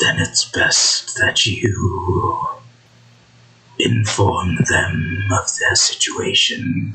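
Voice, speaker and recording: Growling in a put-on character voice, a man drags along at a very slow pace. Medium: actual play. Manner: curt, menacing.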